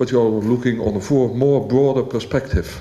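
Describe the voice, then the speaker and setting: Someone speaks at a moderate pace with a Dutch accent. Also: man. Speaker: local politician. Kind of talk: public meeting comment. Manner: halting.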